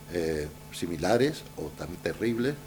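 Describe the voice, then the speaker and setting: Audible room echo carries a man's voice as his pitch makes very wide swings. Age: 70s. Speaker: journalist and writer. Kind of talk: Q&A after a lecture. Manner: hesitant, many fillers.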